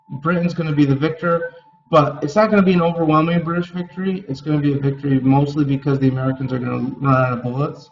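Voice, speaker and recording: Noticeable background noise sits under a man's fairly high voice. He talks very fast with fairly even intonation. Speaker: middle school teacher. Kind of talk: recorded class lecture.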